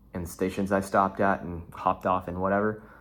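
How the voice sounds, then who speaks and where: The recording is very clean, with a silent background. The speaker keeps a moderate pace. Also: man. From Houston, Texas. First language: Portuguese. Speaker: vlogger, trader and founder. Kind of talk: casual solo vlog monologue. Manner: halting, many repeated words and fillers.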